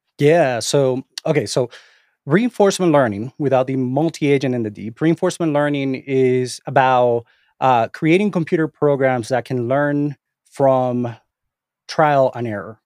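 A man with a Spanish accent speaks at a fairly slow pace with ordinary pitch variation. The sound is dry and close with no echo, over a quiet background. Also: medium pitch for a man. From Venezuela. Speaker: AI researcher and course instructor. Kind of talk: interview conversation. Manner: halting, many repetitions and fillers.

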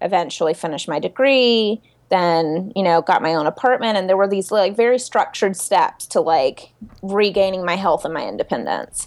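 A woman talks at a moderate pace in a plain, everyday voice of medium pitch with ordinary pitch variation. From US South. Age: 30s. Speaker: body-image activist and writer. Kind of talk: interview. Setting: video call.

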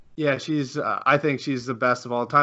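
A man's normal speaking voice, fairly high in pitch, at a fairly quick pace with ordinary pitch variation. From Canada. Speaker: podcast host. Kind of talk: casual interview. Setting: video call.

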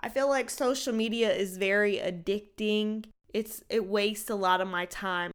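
A woman with an unremarkable speaking voice talks at a moderate pace in a fairly high pitch, her intonation fairly even. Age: 30s. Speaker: podcast host. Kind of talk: casual monologue.

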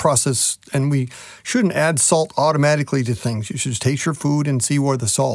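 At a fairly quick pace, a man with a Midwestern US accent speaks in a fairly high pitch with ordinary pitch variation. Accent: US Midwest. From Nebraska. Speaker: meat science specialist. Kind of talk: interview.

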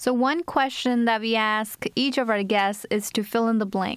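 A woman with a fairly high pitch and an unremarkable speaking voice, fairly even intonation at a moderate pace. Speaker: student podcast host. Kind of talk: casual interview.

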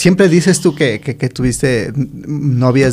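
At a fairly slow pace, a man talks in a normal speaking voice, fairly high in pitch with ordinary pitch variation. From Ecuador, highlands (Otavalo). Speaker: podcast host. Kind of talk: casual interview chat.

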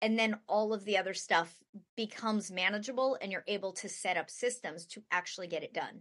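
A woman with a normal speaking voice talks at a moderate pace. Her pitch is fairly high and her intonation lively. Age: 40s. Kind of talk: casual interview conversation.

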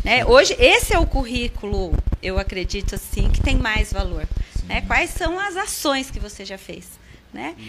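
The speech moves at a fairly slow pace, its loudness swinging widely over noticeable background noise. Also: woman. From interior of São Paulo state, Brazil. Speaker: franchise school co-owner. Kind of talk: casual interview chat. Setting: studio.

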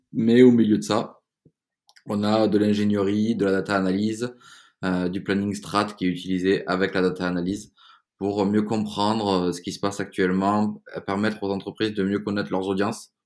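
Monotone and flat in intonation, a man talks at a fairly low pitch with a slight southern French accent. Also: moderate pace, very clean recording, silent background. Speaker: entrepreneur. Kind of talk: interview. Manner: hesitant with repetitions.

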